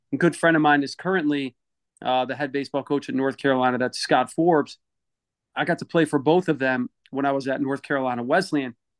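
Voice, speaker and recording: Very fast speech with an American accent over a quiet background. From Connecticut (Waterbury). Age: 40s. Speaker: youth sports advocate. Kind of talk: interview conversation.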